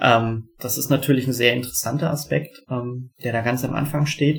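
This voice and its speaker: Somewhat breathy, a man speaks at a medium pitch and moderate pace with monotone, flat intonation. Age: 30s. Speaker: board game product developer. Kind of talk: interview. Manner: many filler sounds.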